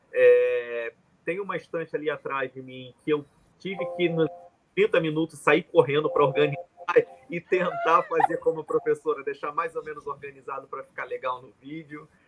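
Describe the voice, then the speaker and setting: In a Rio de Janeiro accent, a man talks at a moderate pace with big swings in loudness. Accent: Rio de Janeiro (carioca), hissing sibilants. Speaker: journalist and professor. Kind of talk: live panel discussion.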